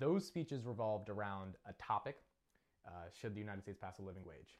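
A normal speaking voice from a man, at a fairly quick pace and a fairly low pitch. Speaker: speech coach. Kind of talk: coaching session.

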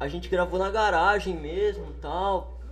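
A man is speaking. Audible room echo fills the recording. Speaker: musician. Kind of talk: casual chat. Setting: studio.

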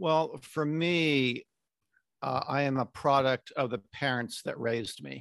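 In a very clean recording with a silent background and a dry, close sound with no echo, a man with a fairly high pitch speaks at a fairly slow pace with ordinary pitch variation in an ordinary speaking voice. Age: 60s. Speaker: documentary maker. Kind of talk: casual interview conversation.

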